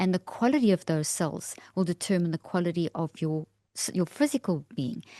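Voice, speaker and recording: Speaking with a South African accent, a woman uses a fairly low pitch and a dark, mellow tone. The sound is dry and close with no echo, and the background is quiet. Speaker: neuroscientist. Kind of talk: interview explanation.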